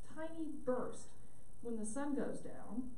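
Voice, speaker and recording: Light background noise plus audible room echo. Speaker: sleep medicine physician. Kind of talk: lecture. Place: hall.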